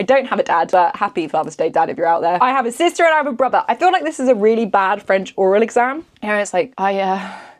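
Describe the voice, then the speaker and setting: In a southern English accent, a woman speaks very fast with hardly any pauses. Her fairly high voice has very wide pitch swings and an animated tone. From England, Essex. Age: 20s. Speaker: beauty vlogger. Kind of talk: casual chat.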